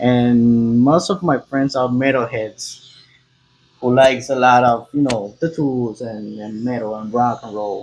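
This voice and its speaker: Speaking with a Spanish accent, a man holds a medium pitch and fairly even intonation. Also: fairly slow pace, big swings in loudness. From Cuba. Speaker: tattoo artist. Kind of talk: casual chat. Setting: tattoo studio. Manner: halting.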